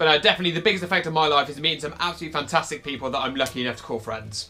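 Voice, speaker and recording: With a British accent, a man speaks at a very fast pace, his fairly high pitch showing ordinary variation. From United Kingdom. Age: 20s. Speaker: vlogger, LARP player. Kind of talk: casual talk to camera.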